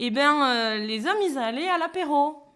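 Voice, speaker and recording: Using an unremarkable speaking voice, a woman talks at a fairly slow pace with lively intonation. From Béarn, France. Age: 30s. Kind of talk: interview answer.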